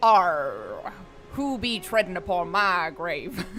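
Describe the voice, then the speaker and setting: Using a put-on character voice, a woman drawls at a very slow pace and medium pitch over clear background noise. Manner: attempted pirate voice that slides into a Texan drawl.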